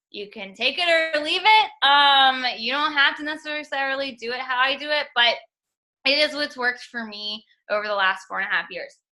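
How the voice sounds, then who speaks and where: A woman with a high pitch and a bright, sharp tone uses a raised, projected voice at a moderate pace. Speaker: network marketing coach. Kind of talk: team call coaching talk. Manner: animated.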